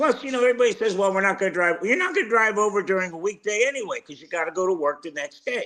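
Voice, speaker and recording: A man with a high pitch talks at a very fast pace in a raised, projected voice, with hardly any pauses, ordinary pitch variation and big swings in loudness. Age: 70s. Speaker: sports talk co-host. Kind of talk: casual sports talk.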